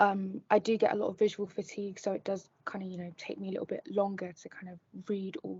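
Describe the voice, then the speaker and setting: A woman's voice sits at a medium pitch and is somewhat breathy. She keeps a moderate pace. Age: 20s; young. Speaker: law student and model. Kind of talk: interview.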